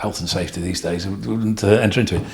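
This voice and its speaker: A man talks with an East Midlands accent. His pitch is fairly low and his intonation fairly even. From England, Nottingham. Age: 60s. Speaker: retired businessman and farmer. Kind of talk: casual chat.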